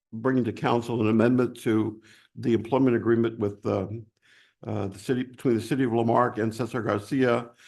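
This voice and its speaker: In a put-on character voice, a man talks at a fairly quick pace in a hoarse, medium-pitched monotone with flat intonation, the background quiet. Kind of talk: formal, council meeting.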